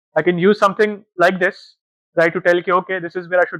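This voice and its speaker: A man with a high pitch, monotone, flat intonation and a Pakistani accent. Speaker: data analytics manager. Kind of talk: conference talk. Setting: stage with audience. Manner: fast.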